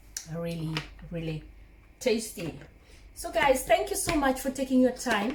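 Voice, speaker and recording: Over noticeable background noise, a woman with a warm tone speaks at a fairly slow pace. Her pitch swings very widely, and she takes long, frequent pauses. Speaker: cooking vlogger. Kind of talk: cooking tutorial. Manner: warm, chatty.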